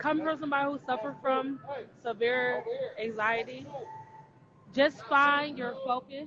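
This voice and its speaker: Raising and projecting her high-pitched voice, a woman speaks with ordinary pitch variation and long, frequent pauses. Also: moderate pace. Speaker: podcast co-host. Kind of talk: casual chat.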